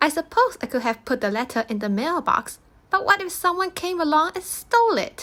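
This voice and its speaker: Squeaky and extremely high, this put-on character voice races along at a fairly quick pace with very wide pitch swings. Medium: read story. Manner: fussy, indignant.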